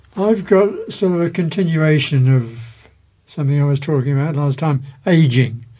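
A man speaks with a fairly high pitch and ordinary pitch variation. His voice is somewhat breathy, with a dark, mellow tone. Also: moderate pace. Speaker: magazine co-host and reader. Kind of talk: magazine presenting and reading aloud.

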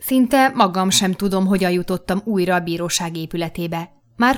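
The voice is reading aloud in a natural voice with ordinary pitch variation.

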